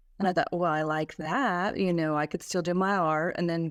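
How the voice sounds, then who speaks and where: At a moderate pace and medium pitch, a woman talks on a very clean recording with a silent background and a dry, close sound with no echo. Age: 60s. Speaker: makeup artist and podcaster. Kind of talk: interview testimony. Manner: hesitant, many fillers.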